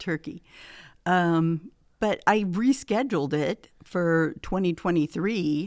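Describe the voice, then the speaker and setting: A woman with a Midwestern American accent speaks at a very slow pace. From US Midwest, Hastings, Nebraska. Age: 70s. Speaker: retiree and gym member. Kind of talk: casual interview. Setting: studio. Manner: halting.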